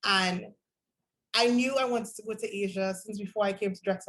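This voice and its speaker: A woman at medium pitch talks at a very fast pace, somewhat breathy and with fairly even intonation. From Trinidad and Tobago. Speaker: university student. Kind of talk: student presentation.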